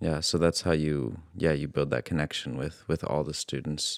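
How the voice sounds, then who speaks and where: A man with an American accent speaks at a moderate pace in a very deep, low voice, with vocal fry and fairly even intonation. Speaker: podcast host. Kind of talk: casual interview chat.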